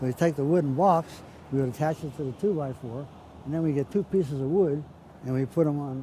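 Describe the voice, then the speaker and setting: In a Pittsburgh accent, a man talks at a very fast pace with a fairly high pitch, a dark, mellow tone and a somewhat breathy quality. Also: ordinary pitch variation. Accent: western Pennsylvania (Pittsburgh). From Pittsburgh, Pennsylvania, US. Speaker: interviewee recalling childhood. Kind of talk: oral history interview. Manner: halting, repeats words.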